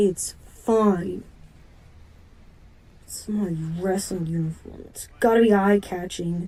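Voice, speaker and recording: Using a put-on character voice at medium pitch, a woman speaks at a fairly slow pace with long, frequent pauses, fairly even intonation and big swings in loudness. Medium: audio drama. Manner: blunt, irritable.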